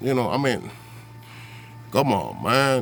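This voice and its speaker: With music in the background, a man of medium pitch speaks with a Spanish accent. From Puerto Rico. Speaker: vlogger. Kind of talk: political rant. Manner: animated.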